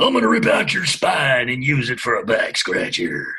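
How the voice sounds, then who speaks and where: Doing a put-on character voice, a man sounds raspy and menacing at a moderate pace. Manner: menacing, bragging.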